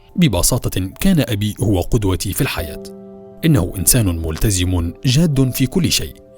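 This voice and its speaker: Over music in the background, a man with a fairly low pitch makes very wide pitch swings. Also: fairly slow pace. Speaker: voice-over artist. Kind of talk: documentary narration.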